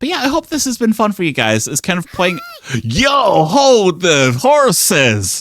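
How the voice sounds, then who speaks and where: A man with a high pitch and an animated tone speaks at a fairly slow pace, his pitch swinging very widely. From Britain. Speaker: VTuber streamer. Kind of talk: live gameplay stream commentary. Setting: live stream.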